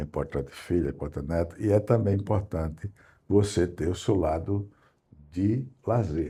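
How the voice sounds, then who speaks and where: In a very clean recording with a silent background, a man speaks at a moderate pace in a very deep, low, dark and mellow voice that is somewhat breathy, with ordinary pitch variation. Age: 80s+. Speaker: professor and historian. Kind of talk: interview.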